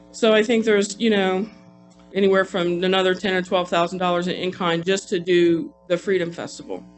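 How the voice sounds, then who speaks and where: Fairly even intonation at a fairly quick pace, with music in the background. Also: man, high pitch for a man. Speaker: city council member. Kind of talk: council meeting debate. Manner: fast; hesitant, many restarts.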